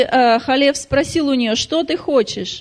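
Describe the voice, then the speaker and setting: A woman talks in a high register, her pitch varying in an ordinary way. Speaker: interpreter. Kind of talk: sermon interpretation. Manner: halting.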